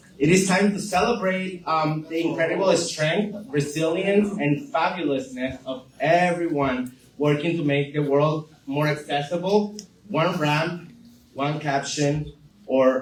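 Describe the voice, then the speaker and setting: The speech moves at a fairly slow pace, and room echo can be heard. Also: man. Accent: Venezuelan. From Venezuela. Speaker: community center staff, event presenter. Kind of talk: community announcements. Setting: live group gathering in a room. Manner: hesitant, many fillers.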